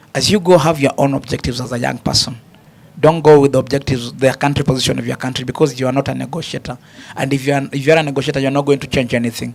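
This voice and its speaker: A man talks at a very fast pace with fairly even intonation, and noticeable background noise sits behind him. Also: medium pitch for a man. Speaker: panelist. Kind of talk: panel discussion.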